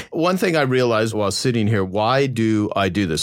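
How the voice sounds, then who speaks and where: In a normal speaking voice, a man goes at a fairly quick pace, his pitch varying in an ordinary way. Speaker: podcast host. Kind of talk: casual chat. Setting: studio.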